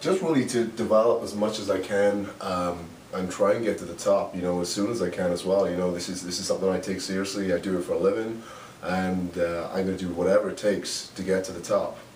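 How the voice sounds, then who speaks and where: Over noticeable background noise and audible room echo, a man with a Welsh accent speaks very fast in a very deep, low voice with fairly even intonation. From Wales, Swansea. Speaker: professional wrestler. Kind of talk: interview. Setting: hotel room. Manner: halting.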